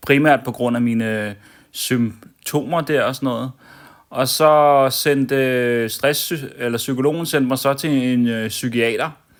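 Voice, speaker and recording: The tone is calm, with fairly even intonation. The pace is very slow. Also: man, medium pitch for a man. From Denmark, Copenhagen (Amager). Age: 40s. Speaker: vlogger. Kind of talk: personal vlog monologue. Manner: calm, hesitant with many fillers.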